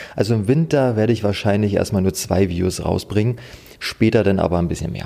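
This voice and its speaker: A man talks fairly quickly in a normal speaking voice, his pitch varying in an ordinary way. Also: fairly low pitch for a man. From eastern Germany, Oder-Spree region (Brandenburg). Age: 30s. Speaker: fishing YouTuber. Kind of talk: casual interview chat.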